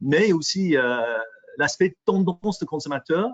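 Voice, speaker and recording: Lively intonation at a fairly slow pace. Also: man. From England. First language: English (speaking French). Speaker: microbiology industry specialist presenter. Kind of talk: webinar presentation. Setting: online webinar. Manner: halting, many fillers and repetitions.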